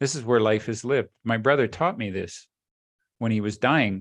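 A man's voice is heard. The pitch moves with ordinary variation. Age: 60s.

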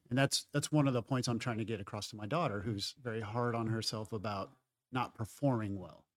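A man with an ordinary speaking voice talks at a medium pitch. His pace is fairly quick. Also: ordinary pitch variation. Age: 40s. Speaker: jiu-jitsu hobbyist and parent. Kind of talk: casual chat. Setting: studio.

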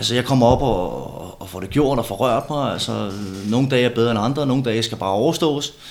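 Noticeable background noise sits behind a man speaking at a fairly quick pace. His pitch is medium with ordinary pitch variation. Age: 30s. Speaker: former bodybuilder and steroid user. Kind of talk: casual chat. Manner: halting, many repeated words.

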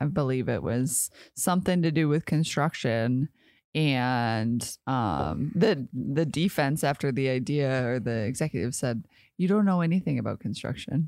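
A woman speaks at a moderate pace in a very deep, low pitch, her intonation lively and her tone animated, on a very clean recording with a silent background. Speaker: podcast co-host. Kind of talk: casual podcast chat. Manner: laughs often, animated.

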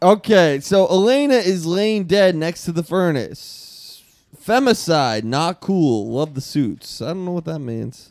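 A man speaks at a fairly slow pace with a high-pitched voice. His pitch swings very widely. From Boston. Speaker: comedian. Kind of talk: casual chat.

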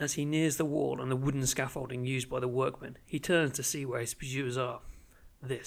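The text comes in an unforced reading voice. Intonation stays fairly even.

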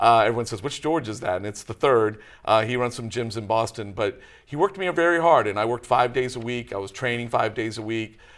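Speaking at a fairly quick pace with hardly any pauses, a man with an American accent uses a medium pitch and ordinary pitch variation. The recording is very clean, with a silent background. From Texas, Dallas area. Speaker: local election candidate. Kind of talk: interview. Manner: hesitant, many fillers.

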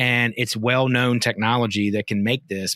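A man talks at a fairly quick pace and a medium pitch. The recording is very clean and dry, close with no echo, and the background is silent. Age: 40s. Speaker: cannabis industry consultant. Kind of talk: interview. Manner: animated.

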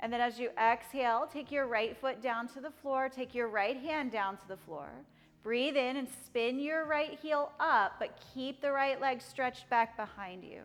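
With music in the background, a woman talks at a moderate pace in a high, calm voice with ordinary pitch variation. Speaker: yoga teacher. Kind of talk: guided yoga class with calm spoken cues. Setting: studio class with students. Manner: calm, steady, instructional, precise.

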